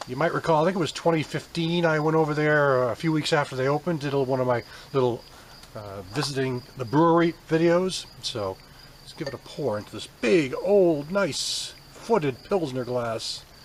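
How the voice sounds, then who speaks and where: A man speaks at a moderate pace and fairly high pitch with ordinary pitch variation and big swings in loudness. Noticeable noise sits in the background. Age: 50s. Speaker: beer reviewer. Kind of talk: casual product review. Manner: relaxed, hesitant with many fillers.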